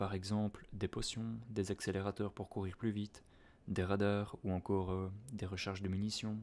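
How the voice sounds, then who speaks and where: A man's soft-spoken, calm voice, fairly low in pitch, monotone and flat at a fairly slow pace, on a very clean recording with a silent background. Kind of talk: casual talk to camera.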